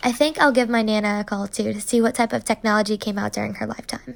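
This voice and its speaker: Speech at a very fast pace with an American accent. The intonation stays fairly even. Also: woman. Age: 20s. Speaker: student. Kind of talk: scripted narration; phone call interview.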